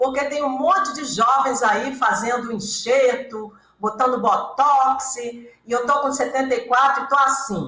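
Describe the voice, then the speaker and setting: A woman speaks in a raised, projected voice at a high pitch. Her pace is fairly slow, and room echo is audible. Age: 70s. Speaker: author and hypnotherapist. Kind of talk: interview. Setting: radio studio with cameras.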